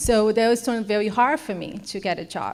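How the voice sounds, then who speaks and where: The speaker talks at a moderate pace with fairly even intonation. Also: woman. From Brazil. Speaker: program participant telling her story. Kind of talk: testimony.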